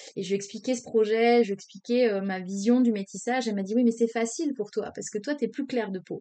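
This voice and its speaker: Very fast speech with fairly even intonation and hardly any pauses. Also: woman, fairly high pitch for a woman. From Senegal. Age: 30s. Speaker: entrepreneur. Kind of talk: casual interview.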